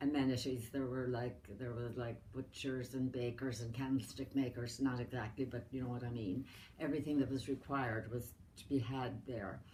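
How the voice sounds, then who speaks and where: Somewhat breathy and dark, mellow in tone, the voice has an American accent, fairly even intonation and a moderate pace. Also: woman, very deep, low pitch for a woman. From Ireland, County Mayo. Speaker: elderly relative interviewed about her life. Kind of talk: family oral history interview.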